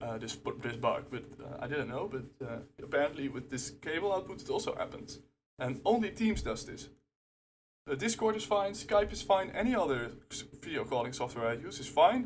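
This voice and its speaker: Somewhat breathy and fairly high, a man's voice moves at a moderate pace with very wide pitch swings and big swings in loudness. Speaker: channel owner demonstrating software bug. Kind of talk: tutorial. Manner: rant, gets emotional.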